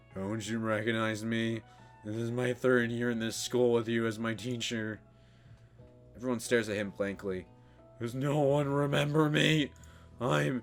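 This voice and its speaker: A put-on character voice drawls at a moderate pace with ordinary pitch variation and long, frequent pauses, over faint music in the background. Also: man, medium pitch for a man. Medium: game stream. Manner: lazy, drawling.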